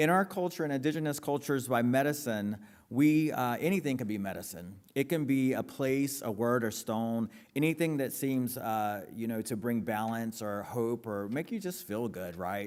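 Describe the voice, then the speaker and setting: In an American accent, a man of medium pitch talks at a moderate pace with lively intonation, on a very clean recording with a silent background. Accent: North Carolina Lumbee English. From US South, Robeson County, North Carolina. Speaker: author and philanthropy executive. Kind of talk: public talk to audience. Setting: stage with audience.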